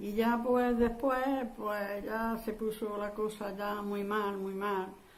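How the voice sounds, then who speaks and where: With audible room echo and noticeable background noise, a woman with a fairly high pitch talks at a very slow pace. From Andalusia, Spain (Huesa, Jaén). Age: 80s+. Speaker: war survivor. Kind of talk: oral history interview. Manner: halting.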